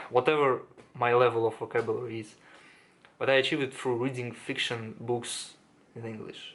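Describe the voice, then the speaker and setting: The voice carries a non-native accent. It moves at a fairly quick pace with monotone, flat intonation. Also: man. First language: not English. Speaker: self-improvement YouTuber. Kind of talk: casual monologue to camera. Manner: halting, many fillers and restarts.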